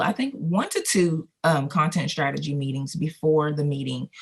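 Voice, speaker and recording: Using a Southern US accent, a woman with a very deep, low pitch talks at a moderate pace with ordinary pitch variation. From Colorado. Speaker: video production company owner. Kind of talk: interview. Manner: conversational.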